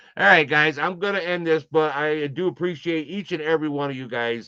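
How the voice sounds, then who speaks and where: With a bright, sharp tone, a man talks at a moderate pace using ordinary pitch variation. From Connecticut. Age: 60s. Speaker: live streamer. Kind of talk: casual chat. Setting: live stream from home room.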